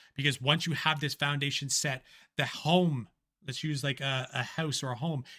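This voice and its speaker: With a Canadian accent, a man speaks in a monotone, flat way, his tone bright and sharp and his pitch fairly high. The sound is dry and close with no echo, a very clean recording with a silent background. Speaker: business coach and AI content creator. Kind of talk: talking-head business vlog. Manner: casual, with frequent fillers and restarts.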